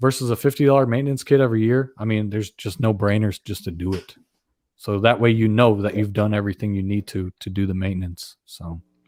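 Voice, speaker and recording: A man's fairly low voice at a very fast pace with ordinary pitch variation, dry and close with no echo, on a very clean recording with a silent background. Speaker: small engine repair channel host. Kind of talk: live stream Q&A. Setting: live stream. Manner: stutters when starting, then fluent.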